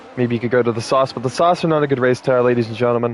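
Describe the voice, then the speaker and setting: With ordinary variation in his pitch, a man talks against noticeable background noise. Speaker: sim racing commentator. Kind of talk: live commentary. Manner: casual, profane.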